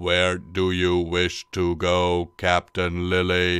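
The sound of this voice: A man puts on a robotic character voice, very deep and low in pitch. He talks very slowly with monotone, flat intonation.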